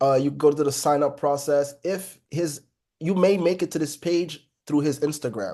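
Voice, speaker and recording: Speaking with a Haitian accent, a man has a dark, mellow tone, a fairly high pitch and fairly even intonation. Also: moderate pace, quiet background. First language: Haitian Creole. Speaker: trading educator. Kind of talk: live online trading class. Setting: video call. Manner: casual, conversational.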